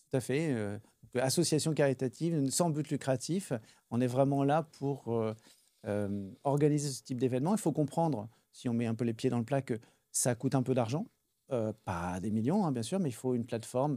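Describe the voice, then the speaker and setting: On a very clean recording with a silent background, a man with a Parisian accent speaks at a moderate pace in a medium pitch with ordinary pitch variation. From Paris, France. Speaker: charity event co-founder and entrepreneur. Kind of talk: casual interview.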